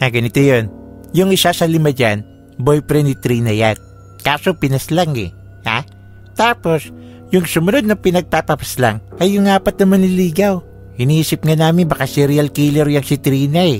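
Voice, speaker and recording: Over clear music in the background, a man does a cartoonish character voice at a fairly high pitch, moderate pace and lively intonation. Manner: chatty, ends lines with 'ha?'.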